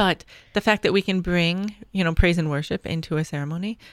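A woman with a plain, everyday voice speaks at a fairly quick pace in a fairly low pitch, her intonation fairly even, on a very clean recording with a silent background. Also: dry, close sound with no echo. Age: 40s. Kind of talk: casual chat.

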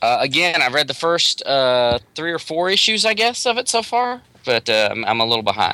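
With an American accent, a man speaks in a fairly high, bright and sharp voice that swings very widely in pitch. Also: moderate pace. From US South, North Carolina. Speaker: comic book writer. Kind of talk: casual interview. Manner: halting, many fillers and repeats.

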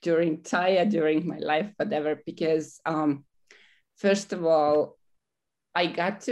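Against a quiet background, a woman with a non-native accent speaks very slowly in a very deep, low pitch with fairly even intonation. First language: not English. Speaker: coaching program graduate. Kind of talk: personal testimony. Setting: studio. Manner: halting, many fillers.

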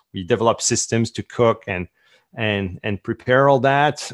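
A man with a French Canadian accent and medium pitch speaks at a fairly slow pace with fairly even intonation, on a very clean recording with a silent background. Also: dry, close sound with no echo. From Quebec. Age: 30s. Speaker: entrepreneur and author. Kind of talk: interview.

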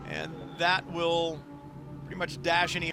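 A man with a fairly high pitch speaks in an animated tone over noticeable background noise. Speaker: race commentator. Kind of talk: live race commentary. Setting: trackside at race. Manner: animated, brisk play-by-play delivery.

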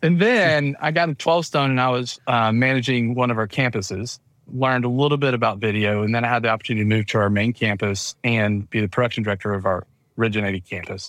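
Speaking very fast in a Southern US accent, a man keeps a medium pitch with ordinary pitch variation. The recording is very clean, with a silent background. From US South, Georgia. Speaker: church video production business manager, former church tech director. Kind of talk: casual interview chat.

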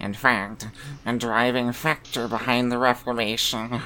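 A put-on character voice at a low-to-middle pitch and fairly slow pace, with clear background noise. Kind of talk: nerdy, geeky speech.

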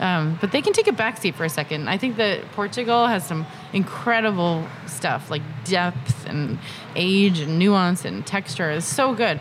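A woman at medium pitch with an American accent and lively intonation, over noticeable background noise. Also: moderate pace. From Massachusetts, US. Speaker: wine entrepreneur. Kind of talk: casual interview.

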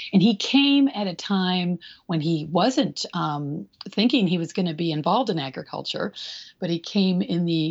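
A woman talks at a moderate pace with lively intonation. Hers is an unremarkable speaking voice. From Michigan. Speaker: attorney and livestock rancher. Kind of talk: interview.

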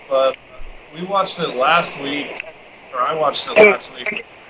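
With an American accent and lively intonation, the speaker goes at a fairly slow pace over noticeable background noise. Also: man. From Colorado. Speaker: off-road racer. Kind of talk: interview.

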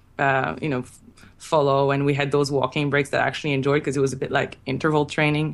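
Her pitch is very deep and low for a woman. The intonation stays monotone and flat. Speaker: sprinter. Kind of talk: casual interview.

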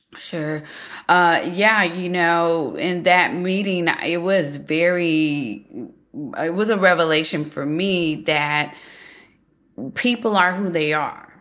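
A woman with an American accent, fairly low in pitch, speaking at a very slow pace with audible room echo. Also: ordinary pitch variation. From United States. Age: 40s. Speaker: author. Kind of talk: casual chat.

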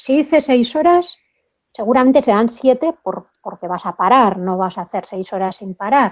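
A woman speaks at a fairly slow pace in a high voice that swings very widely in pitch. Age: 50s. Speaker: motorcycle traveler and businesswoman. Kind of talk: interview.

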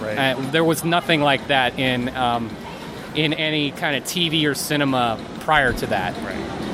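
A man speaks with ordinary pitch variation. There is noticeable background noise behind him. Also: fairly high pitch for a man, fairly slow pace. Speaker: guest co-host. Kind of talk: casual chat. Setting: convention hall.

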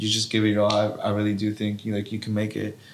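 There is noticeable background noise. A man with a medium pitch speaks at a very fast pace. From Watsonville, California. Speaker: professional footballer. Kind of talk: casual interview chat. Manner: halting, many fillers.

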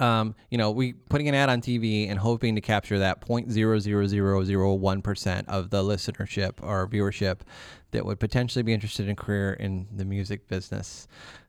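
A plain, everyday voice with an American accent, fairly even intonation and a fairly quick pace. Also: man, fairly low pitch for a man, very clean recording, silent background. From northern Ohio, Milan/Sandusky area. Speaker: founder of a music industry career school. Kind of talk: interview. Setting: recording studio.

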